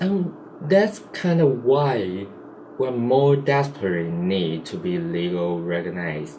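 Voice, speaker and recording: A man with a Chinese accent speaks very slowly at a medium pitch, his pitch swinging very widely. Audible room echo and noticeable background noise surround him. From Taiwan. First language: Mandarin Chinese. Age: 20s. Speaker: vlogger. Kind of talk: casual vlog monologue. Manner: halting, self-correcting.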